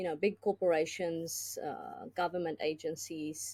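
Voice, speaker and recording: A woman speaks slowly with a fairly low pitch, a dark, mellow tone and vocal fry. Her intonation is lively, and the sound is dry and close with no echo. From South Africa. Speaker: business consultant and tech executive. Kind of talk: podcast interview.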